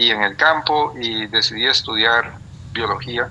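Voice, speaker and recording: A man talks with a Costa Rican accent and ordinary pitch variation. Noticeable background noise runs under his voice. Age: 60s. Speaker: biologist and retired professor. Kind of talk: interview. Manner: halting, many fillers and repetitions.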